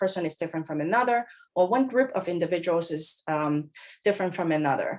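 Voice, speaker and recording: Lively intonation marks this woman's speech. She has a Cantonese accent. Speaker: professor. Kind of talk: lecture.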